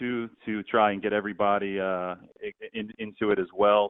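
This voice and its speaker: Here is a man with an unremarkable speaking voice. His intonation is fairly even. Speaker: stadium public address announcer; U.S. history teacher. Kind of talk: interview answer.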